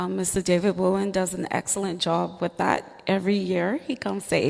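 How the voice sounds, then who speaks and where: With a Turks and Caicos accent, a woman talks at a moderate pace in a medium pitch. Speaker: teacher. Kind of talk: panel discussion.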